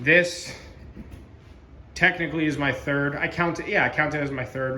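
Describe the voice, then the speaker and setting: A man speaks in a fairly high voice. The room echo is audible. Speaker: model railroad hobbyist video host. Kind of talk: casual video walkthrough. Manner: casual with fillers.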